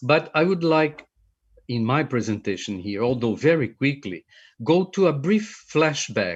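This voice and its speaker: Against a quiet background, a man with a Portuguese accent speaks at a moderate pace. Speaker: film researcher. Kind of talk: conference presentation.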